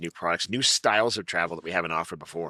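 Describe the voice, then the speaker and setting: Pitch varies in an ordinary way. A man talks at a very fast pace. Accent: Massachusetts. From Massachusetts. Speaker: travel company executive. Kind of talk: interview. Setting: conference venue.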